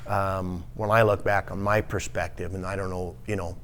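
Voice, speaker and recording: There's audible room echo as a man with an American accent speaks in a very deep, low voice. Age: 60s. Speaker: hardware store owner. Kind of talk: casual interview. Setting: podcast studio at a marina. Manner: halting.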